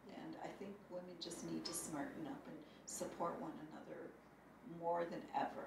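Audible room echo and noticeable background noise surround a woman speaking at a moderate pace, her fairly low voice marked by lively intonation. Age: 50s. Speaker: bank board director and business owner. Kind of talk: interview.

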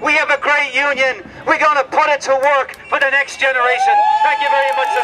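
A man speaks at an extremely high pitch in a raised, projected voice with ordinary pitch variation. Noticeable background noise runs underneath. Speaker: labour federation leader. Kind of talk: rousing outdoor rally speech to striking workers on a picket line. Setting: outdoors at a picket line rally. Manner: fiery, emphatic call-and-response cadence; repetitive rallying refrains building to a climax.

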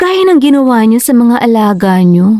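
A woman speaks at a fairly slow pace in a high, dark and mellow voice with very wide pitch swings, recorded dry and close with no echo. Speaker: voice actor playing a character. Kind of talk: dramatic character dialogue. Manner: mocking, teasing, laughing, Taglish.

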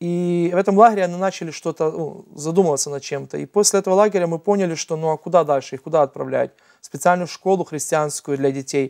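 This man talks at a very fast pace with a high pitch. His pitch varies in an ordinary way against a quiet background. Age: 30s. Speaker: nonprofit founder and adoptive father; talk show guest. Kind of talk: TV interview. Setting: TV studio. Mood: earnest, reflective storytelling. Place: studio. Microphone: lapel.

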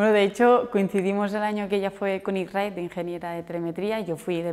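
A woman's fairly quick speech holds fairly even intonation. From Andorra. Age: 20s. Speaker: motorcycle rally rider. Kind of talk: interview answers. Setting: newsroom visit. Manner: hesitant, with repetitions and fillers. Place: office.

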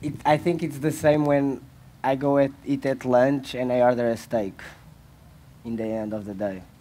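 A man with a Portuguese accent speaks at medium pitch in a dark, mellow tone. His pace is moderate and his pitch varies normally, with long, frequent pauses. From Portugal. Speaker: fashion label founder; speaker. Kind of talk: panel discussion. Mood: relaxed, joking. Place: stage. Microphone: headset.

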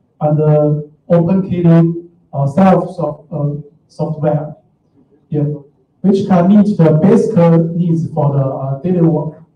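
A man with a Chinese accent at a high pitch and very slow pace, with a dark, mellow tone, fairly even intonation and audible room echo. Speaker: software engineer; conference presenter. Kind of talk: conference talk. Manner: hesitant, many fillers. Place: hall.

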